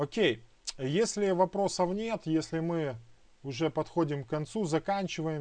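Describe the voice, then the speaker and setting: A man with a high pitch has a dark, mellow tone and ordinary pitch variation. The background is quiet. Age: young. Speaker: Messianic Bible teacher. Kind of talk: online Bible lesson; sermon-like exhortation.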